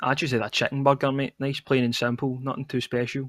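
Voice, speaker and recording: A man with a Scottish accent speaks at medium pitch in a bright, sharp tone, his intonation monotone and flat. The recording is very clean, dry and close, with no echo and a silent background. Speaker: esports caster. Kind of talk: live commentary. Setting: live stream. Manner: casual.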